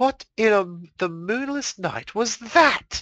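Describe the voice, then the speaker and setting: Using a put-on character voice, the speaker hisses at a fairly high pitch and a fairly slow pace. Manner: hissing through clenched teeth.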